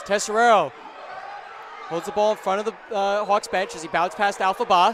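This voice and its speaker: Over noticeable background noise, a man with a high pitch talks at a fairly quick pace with fairly even intonation and long, frequent pauses. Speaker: play-by-play sports commentator. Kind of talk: live commentary. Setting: courtside broadcast with headset. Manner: loud; fast.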